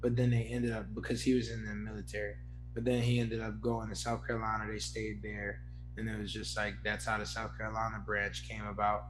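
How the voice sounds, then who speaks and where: A man with a very deep, low pitch talks very fast in a monotone, flat way. Music plays behind him, and the room echo is audible. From Philadelphia, US. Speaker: podcast host. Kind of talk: casual chat.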